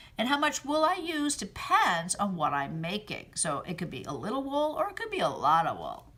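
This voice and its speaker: A woman with an American accent speaks at a moderate pace with hardly any pauses. Noticeable background noise runs underneath. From Massachusetts, US. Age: 60s. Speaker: fiber artist. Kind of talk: answering children's questions in a recorded video message. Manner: gentle, kid-friendly.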